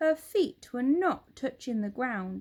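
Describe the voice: A woman's high pitch with big pitch swings, a slightly mellow tone and a slow pace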